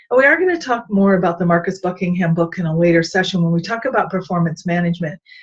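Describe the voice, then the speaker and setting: Somewhat breathy female speech, medium in pitch for a woman, at a fairly quick clip. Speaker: leadership coach. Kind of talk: vlog-style talk on leadership. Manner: fast; animated.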